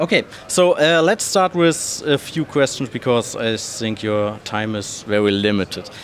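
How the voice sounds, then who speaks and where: A man's medium-pitched voice with very wide pitch swings, a fairly slow pace and hardly any pauses, over noticeable background noise. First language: German. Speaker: gaming content creator, interviewer. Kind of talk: interview. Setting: trade fair. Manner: halting, hesitant.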